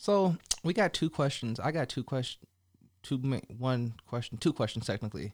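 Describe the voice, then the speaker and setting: With a West Coast accent, a man talks at a moderate pace in a medium-pitched voice with lively intonation. The sound is dry and close with no echo, on a very clean recording with a silent background. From Colorado and California, US. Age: 30s. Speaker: podcast host. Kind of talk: casual interview chat. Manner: casual, laughing.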